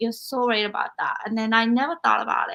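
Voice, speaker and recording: This woman speaks with a non-native accent. The tone of her voice is bright and sharp. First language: not English. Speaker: podcast host. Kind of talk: interview.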